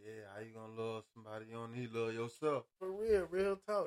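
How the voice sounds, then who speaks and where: A man speaks in an ordinary speaking voice with lively intonation at a moderate pace. The sound is dry and close, with no echo. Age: 50s. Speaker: podcast host, former truck driver. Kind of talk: casual chat. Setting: studio.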